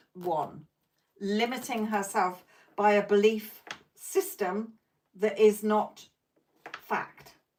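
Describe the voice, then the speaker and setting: A woman speaks at a medium pitch in a British accent. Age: 50s. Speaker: psychic tarot reader. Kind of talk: live stream reading and chat. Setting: live stream.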